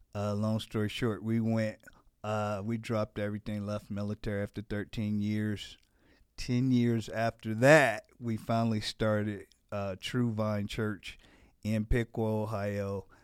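A man with an American accent speaks at a fairly slow pace in a fairly low pitch, his intonation flat and monotone, on a very clean recording with a silent background. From Gary, Indiana (US Midwest, near Chicago). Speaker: pastor. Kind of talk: casual interview.

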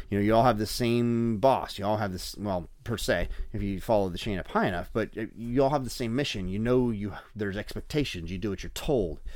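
Audible room echo surrounds a man with a fairly low pitch. He speaks at a fairly quick pace with ordinary pitch variation. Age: 40s. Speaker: podcast host and amateur motorcycle racer. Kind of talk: casual interview chat. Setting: racetrack paddock. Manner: halting, many fillers.

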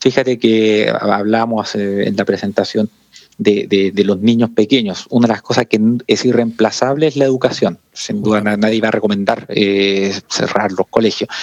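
A man's fairly low-pitched voice at a moderate pace, with fairly even intonation. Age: 40s. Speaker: corporate sustainability coordinator. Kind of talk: interview conversation. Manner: halting, many repetitions.

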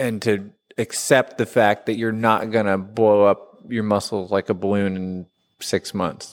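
In an unremarkable speaking voice, a man talks at a fairly low pitch with ordinary pitch variation on a very clean recording with a silent background. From US Midwest, southern rural Illinois. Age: 30s. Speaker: gym member, weight-loss story. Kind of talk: casual interview.

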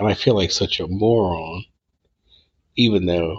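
Fairly even in intonation, a man talks at a moderate pace with a fairly low pitch. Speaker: podcast host and author. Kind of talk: casual chat, podcast intro and outro. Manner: casual, rambling, halting with fillers.

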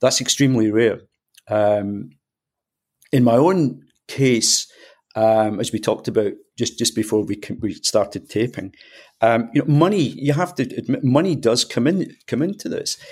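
Recorded very cleanly against a silent background, a man with a Scottish accent uses lively intonation at a moderate pace with long, frequent pauses. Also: medium pitch for a man. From Scotland. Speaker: retired endocrinologist and author. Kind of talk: interview chat.

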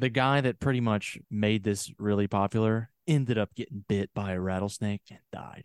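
In an unremarkable speaking voice, a man with fairly low pitch talks at a moderate pace with fairly even intonation, big swings in loudness and hardly any pauses, in a dry, close sound with no echo. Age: 30s. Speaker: podcast co-host. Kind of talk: casual chat.

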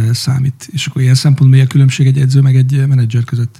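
At a very fast pace, a man talks in a medium pitch with monotone, flat intonation. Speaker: podcast host, business manager. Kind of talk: casual interview chat.

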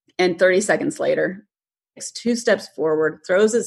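A woman speaks at a moderate pace and medium pitch. Hers is an ordinary speaking voice. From US, moved around as a military child. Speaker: livestock photographer. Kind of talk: casual interview.

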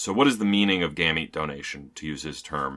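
Over a silent background in a very clean recording, a man with an American accent speaks at a fairly quick pace in a bright, sharp tone with ordinary pitch variation. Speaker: poetry editor and podcast co-host. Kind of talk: casual book discussion.

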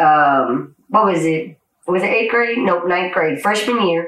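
A woman with an American accent has an ordinary speaking voice pitched fairly low. She talks at a fairly slow pace with lively intonation. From Georgia, US (Paulding County, metro Atlanta). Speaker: army veteran. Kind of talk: casual chat.

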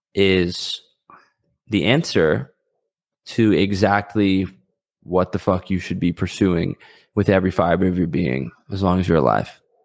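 At a fairly slow pace, a man with a very deep, low pitch and vocal fry speaks with ordinary pitch variation and long, frequent pauses. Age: 20s. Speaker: entrepreneur and YouTuber. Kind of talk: casual chat. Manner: halting.

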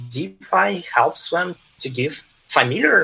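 A man speaks with a Russian accent. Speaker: tech executive. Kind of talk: interview. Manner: halting.

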